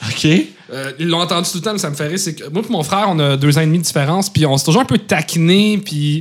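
A man with a fairly high pitch at a very fast pace, amid noticeable background noise. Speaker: comedian. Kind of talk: casual chat.

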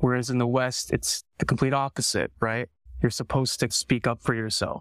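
Recorded very cleanly with a silent background and a dry, close sound with no echo, a man with a Canadian accent speaks at a fairly quick pace in a monotone, flat intonation. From Canada. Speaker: film director. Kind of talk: interview conversation.

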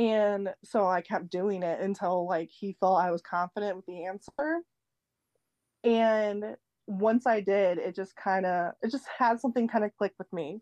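A woman at a medium pitch with an unremarkable speaking voice, a fairly slow pace and ordinary pitch variation, in a dry, close recording with no echo over a quiet background. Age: 20s. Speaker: optician. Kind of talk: casual chat.

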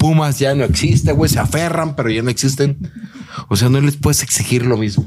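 Over noticeable background noise, a man talks at a fairly quick pace with very even loudness and a medium pitch that shows ordinary variation. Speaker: comedic content creator, football fan. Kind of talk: casual chat.

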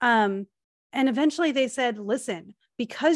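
A woman's animated, lively-toned speech, dry and close with no echo, over a quiet background. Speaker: podcast host. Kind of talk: casual chat. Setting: video call recording. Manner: animated, laughs often.

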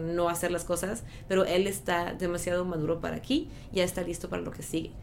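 A woman speaks at a moderate pace in a fairly low voice. Her intonation is monotone and flat, with audible room echo. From northern France (Lille). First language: French (speaking Spanish). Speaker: schoolteacher. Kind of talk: interview.

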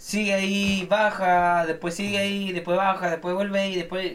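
Pitched high, a man's voice holds a monotone, flat intonation. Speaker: film podcast co-host. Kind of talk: casual chat. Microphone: sounds bad on the mic.

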